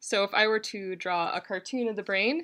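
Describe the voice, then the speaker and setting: A woman's voice is medium in pitch, with a bright, sharp tone and ordinary pitch variation. She speaks at a fairly slow pace in a very clean recording with a silent background. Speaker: PhD student substitute lecturer. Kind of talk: lecture. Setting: classroom.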